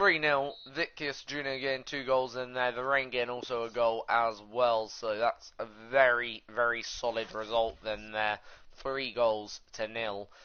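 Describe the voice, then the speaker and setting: A man with a British accent talks at a medium pitch. His pace is fairly slow and his intonation fairly even. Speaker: gaming YouTuber. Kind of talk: gameplay commentary. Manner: hesitant, many fillers.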